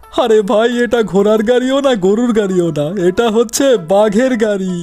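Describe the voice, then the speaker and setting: A man puts on a cartoonish character voice at a high pitch. He keeps a moderate pace over clear background noise. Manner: breezy, chatty, reassuring.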